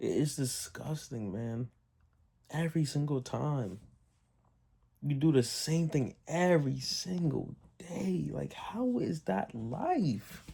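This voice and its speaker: Speaking very slowly, a man with a fairly high pitch has a dark, mellow tone, lively intonation and a somewhat breathy quality. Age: adult. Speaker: vlogger. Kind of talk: casual monologue. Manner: halting, stuttering.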